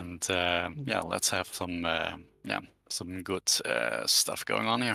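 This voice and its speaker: With a Dutch accent, a man speaks very slowly in a very deep, low voice with vocal fry, a bright, sharp tone and very wide pitch swings, on a very clean recording with a silent background. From Netherlands. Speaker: community game server admin. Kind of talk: casual livestream chat. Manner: halting, many fillers.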